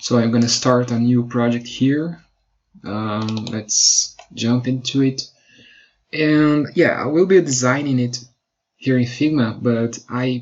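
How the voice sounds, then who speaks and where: A man talks at a very slow pace with a Brazilian Portuguese accent. His pitch is medium, with ordinary pitch variation. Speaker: web designer. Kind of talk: tutorial. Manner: halting.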